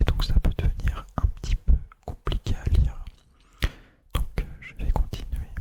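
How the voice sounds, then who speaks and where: A man whispers at a very slow pace. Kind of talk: casual talk to camera. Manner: whispered.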